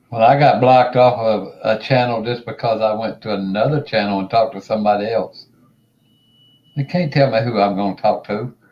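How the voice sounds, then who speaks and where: Delivered at a fairly quick pace, an unremarkable speaking voice keeps its intonation fairly even. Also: man, medium pitch for a man. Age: 60s. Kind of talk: casual chat.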